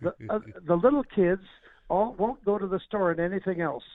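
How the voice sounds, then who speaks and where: A man's high voice with ordinary pitch variation. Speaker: inventor. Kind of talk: interview.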